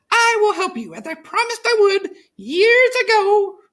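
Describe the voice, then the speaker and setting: In a put-on character voice, a female-sounding speaker squeaks along at a moderate pace with an extremely high pitch. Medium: read story.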